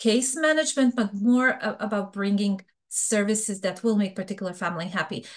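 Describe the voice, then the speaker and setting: A woman speaks with a Serbian accent at a fairly quick pace. Her pitch sits in the medium range. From Bosnia. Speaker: fraud prevention expert. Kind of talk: interview.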